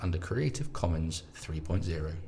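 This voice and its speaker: A man mumbles. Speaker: theatre podcast host. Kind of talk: scripted outro. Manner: mumbling.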